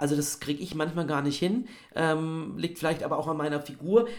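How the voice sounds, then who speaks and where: A man with a fairly high pitch and ordinary pitch variation, amid noticeable background noise. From Bavaria, Regensburg. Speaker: actor and voice actor. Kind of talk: interview conversation. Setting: video call.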